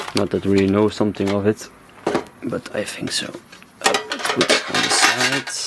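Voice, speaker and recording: Someone speaks with a Belgian accent, leaving long, frequent pauses. Noticeable background noise is present. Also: moderate pace. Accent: non-native English, Belgian. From Belgium (Flanders). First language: Dutch (Flemish). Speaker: YouTuber, card collector. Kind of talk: unboxing commentary. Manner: animated.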